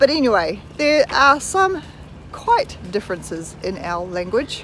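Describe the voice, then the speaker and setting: Noticeable background noise fills the recording. A woman's voice comes through over it. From New Zealand. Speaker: vlogger. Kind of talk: casual vlog chat. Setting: outdoors, walking.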